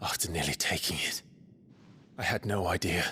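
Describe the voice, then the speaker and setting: Using a put-on character voice with a very deep, low pitch, a man speaks at a moderate pace over clear background noise. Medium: short film.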